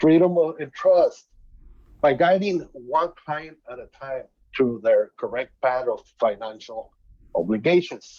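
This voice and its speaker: A man with a Spanish accent speaks at a fairly slow pace. His loudness swings widely. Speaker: student entrepreneur pitching. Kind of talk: business pitch.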